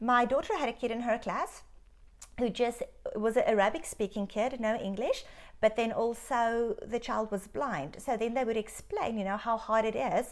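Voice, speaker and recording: Speaking with a South African accent, the voice keeps a moderate pace and ordinary pitch variation. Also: woman, fairly high pitch for a woman. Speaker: doctor. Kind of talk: interview. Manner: animated.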